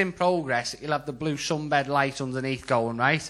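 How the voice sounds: In a Scouse accent, a man speaks at a moderate pace with a fairly high pitch and a bright, sharp tone. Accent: Scouse, Liverpool.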